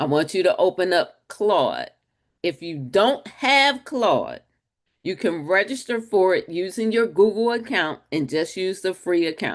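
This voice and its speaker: Loud and animated, a woman at medium pitch swings her pitch very widely while speaking fairly slowly against a quiet background. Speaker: webinar host and marketing coach. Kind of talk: webinar presentation.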